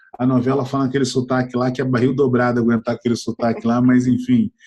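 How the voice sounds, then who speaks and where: Fairly quick speech in a Rio de Janeiro accent. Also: man. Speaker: entrepreneur and innovation mentor. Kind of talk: interview. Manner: hesitant, many fillers and repetitions.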